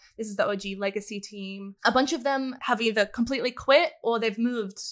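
A woman with an Australian accent and fairly even intonation, on a very clean recording with a silent background. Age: 20s. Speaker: esports content creator. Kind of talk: casual chat.

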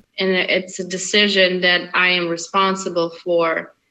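Very slow, monotone delivery with flat intonation, a bright, sharp tone and a non-native accent. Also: woman. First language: not English. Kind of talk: interview.

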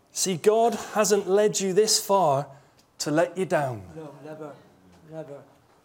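Over noticeable background noise, a high-voiced man speaks very slowly with long, frequent pauses and big swings in loudness. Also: ordinary pitch variation. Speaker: pastor. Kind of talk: sermon. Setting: church. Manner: animated.

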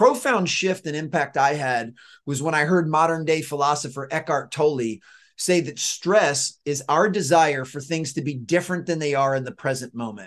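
A man speaks in an unremarkable speaking voice with an American accent, fairly high in pitch with ordinary pitch variation. His pace is moderate against a quiet background. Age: 40s. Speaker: author and performance coach. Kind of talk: interview conversation.

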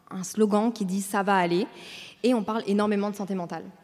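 Speaking at a fairly quick pace, a woman with a fairly high pitch uses a dark, mellow tone and fairly even intonation. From Brussels, Belgium. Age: 20s. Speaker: content creator and podcaster. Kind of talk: interview on stage. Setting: stage with audience.

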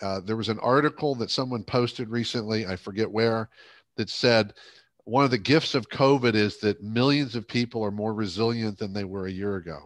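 An unremarkable speaking voice from a man with an American accent, medium in pitch with ordinary pitch variation, at a fairly quick pace over a quiet background. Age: 60s. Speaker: leadership coach and speaker. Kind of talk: interview conversation.

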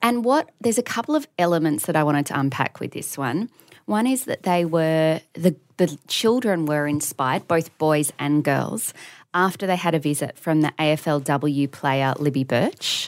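In a very clean recording with a silent background, a woman with an Australian accent speaks at a moderate pace in a very deep, low pitch with lively intonation. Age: 30s. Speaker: podcast co-host. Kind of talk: casual chat.

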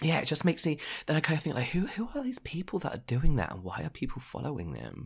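A man's very fast speech with vocal fry and very wide pitch swings. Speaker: podcast co-host. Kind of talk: casual chat.

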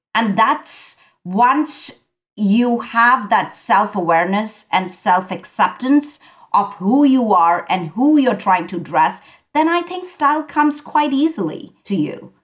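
A woman's fairly high, somewhat breathy voice at a very slow pace, with very wide pitch swings. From India. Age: 50s. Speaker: fashion stylist. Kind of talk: interview. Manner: animated.

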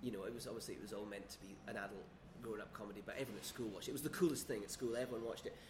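A somewhat breathy man's voice at medium pitch, with ordinary pitch variation, a very fast pace and audible room echo. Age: 30s. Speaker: screenwriter. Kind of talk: casual chat. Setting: quiet bar.

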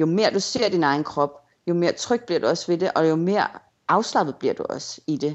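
An ordinary speaking voice at a fairly quick pace, with lively intonation. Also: woman, fairly low pitch for a woman. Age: 30s. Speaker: blogger. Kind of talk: interview.

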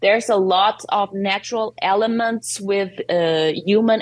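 A woman with a Portuguese accent speaks at medium pitch with fairly even intonation. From Portugal. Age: 30s. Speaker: poet. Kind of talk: interview. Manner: halting.

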